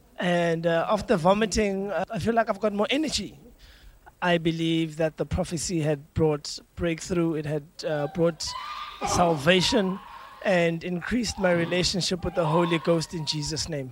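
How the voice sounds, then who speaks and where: Against noticeable background noise, a man talks at a fairly slow pace in a high pitch with ordinary pitch variation. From South Africa. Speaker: congregant giving testimony. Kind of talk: testimony. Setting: church. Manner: halting.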